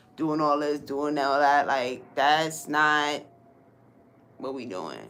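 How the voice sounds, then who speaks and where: Room echo is audible around a woman's voice. She speaks at a fairly slow pace. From New York, Brooklyn. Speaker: livestream host and crocheter. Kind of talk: casual livestream chat while crocheting. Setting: home art studio room. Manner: animated.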